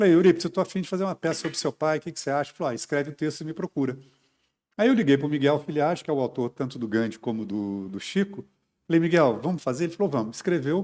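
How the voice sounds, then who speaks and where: A man's fairly high voice, lively in intonation and very fast in pace, on a very clean recording with a silent background. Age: 60s. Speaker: stage and TV actor. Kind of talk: interview.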